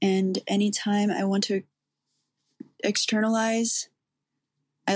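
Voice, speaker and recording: The speech comes at a very slow pace with monotone, flat intonation. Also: woman. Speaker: listener. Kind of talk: voicemail message, spiritual reflection.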